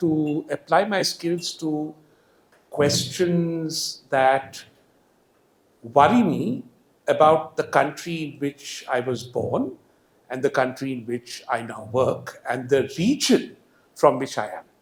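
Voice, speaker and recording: A man with a Marathi accent, fairly high-pitched, very slow pace, lively intonation and big swings in loudness. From India, Hyderabad. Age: 50s. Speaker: economist. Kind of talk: public lecture. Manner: animated.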